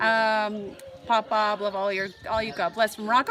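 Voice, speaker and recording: Behind the speech, background noise is noticeable. The speaker is a woman. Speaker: travel vlogger. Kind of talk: live stream chat. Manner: fast; excitable.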